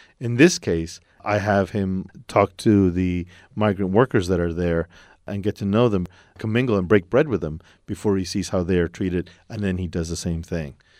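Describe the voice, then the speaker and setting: A man speaks with an American accent in a very deep, low pitch. His pace is moderate, his pitch varies in an ordinary way, and the sound is dry and close with no echo. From Texas, El Paso. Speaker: playwright. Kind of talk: interview.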